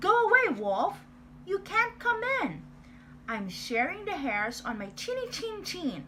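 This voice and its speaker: A woman's put-on character voice at an extremely high pitch, with very wide pitch swings, a fairly slow pace and clear background noise. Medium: read story. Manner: curt, rude.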